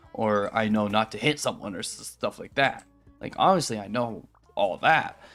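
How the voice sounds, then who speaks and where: Male speech at a moderate pace over background music. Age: 20s. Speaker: streamer. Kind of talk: casual chat. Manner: halting.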